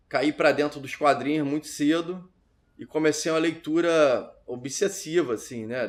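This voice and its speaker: A man with an ordinary speaking voice talks at a fairly slow pace, his pitch fairly high and ordinarily varied. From Rio de Janeiro north zone, Brazil. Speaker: filmmaker. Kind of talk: interview testimony.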